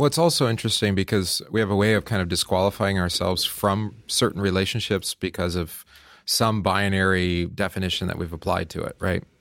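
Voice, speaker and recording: A man speaks at a fairly low pitch with ordinary variation, captured on a very clean recording with a silent background. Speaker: co-host, pastor. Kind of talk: casual chat. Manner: soft-spoken, mild-mannered.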